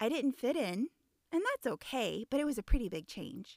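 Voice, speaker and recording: In a normal speaking voice with an American accent, a woman talks at a moderate pace with lively intonation, the sound dry and close with no echo. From Indiana. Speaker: podcast host, coach. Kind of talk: podcast monologue; casual interview.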